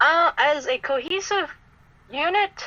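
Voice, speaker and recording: A woman speaks with an American accent in a raised, projected voice. Her tone is bright and sharp. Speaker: cosplayer. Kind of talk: podcast interview.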